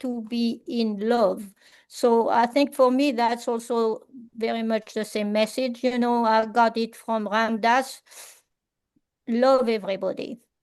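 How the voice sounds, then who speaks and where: A woman with a French accent speaks at a very slow pace and a fairly high pitch, her intonation monotone and flat, over a quiet background. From France, rural village. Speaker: artist and workshop facilitator. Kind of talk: Q&A after a talk. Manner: halting, many fillers.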